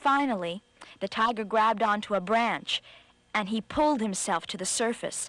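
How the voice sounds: What you hear is a natural reading voice.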